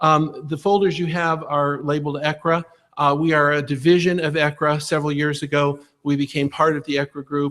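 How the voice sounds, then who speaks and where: A man talks at a fairly quick pace with a fairly high pitch. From Ohio. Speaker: school superintendent search consultant. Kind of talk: presentation to school board. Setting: public board meeting. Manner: fast; animated.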